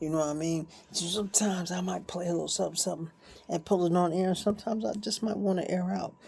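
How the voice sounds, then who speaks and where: A woman talks in an animated tone with a fairly low pitch and vocal fry. Her pitch variation is ordinary. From Newark, New Jersey. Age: 60s. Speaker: vlogger. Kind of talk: monologue rant.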